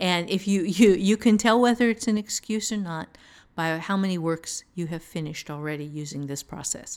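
At a moderate pace and medium pitch, a woman with a normal speaking voice and ordinary pitch variation is heard in a very clean recording with a silent background. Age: 50s. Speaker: author and writing teacher. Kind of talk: casual advice discussion.

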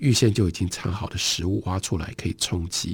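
Against a silent background in a very clean recording, a man speaks in a calm tone that is somewhat breathy. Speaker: radio book host. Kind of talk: radio literary talk; literary audiobook reading, narrating a story excerpt. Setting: radio broadcast studio. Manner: measured, storytelling narration; formal, calm, fluent.

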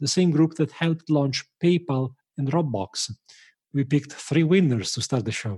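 Somewhat breathy, a man speaks with a fairly high pitch and ordinary pitch variation. The background is quiet. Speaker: podcast host. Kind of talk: interview.

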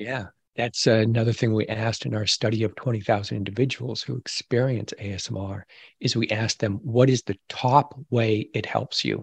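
Against a quiet background, a man at medium pitch speaks with vocal fry, fairly even intonation and a moderate pace. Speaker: ASMR expert and whisper podcaster. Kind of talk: interview answers, explaining. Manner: gentle, calm whisper.

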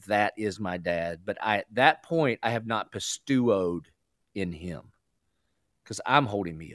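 A man with a Southern US accent speaks at a fairly slow pace in a fairly low pitch with lively intonation, on a very clean recording with a silent background and a dry, close sound with no echo. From US South. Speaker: pastor. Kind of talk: radio interview.

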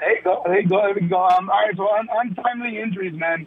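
Against noticeable background noise, a man speaks at a high pitch with ordinary pitch variation. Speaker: caller. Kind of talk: call-in sports talk. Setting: phone call. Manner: casual.

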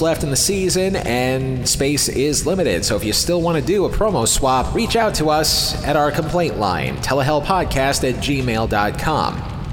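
Music plays behind a man speaking at a moderate pace. His intonation is lively. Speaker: podcast host. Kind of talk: scripted podcast intro and recap commentary.

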